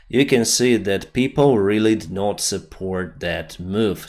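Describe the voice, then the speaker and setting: With a non-native accent, a man speaks at a fairly slow pace in a fairly low pitch. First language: not English. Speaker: news commentator. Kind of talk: video commentary on news.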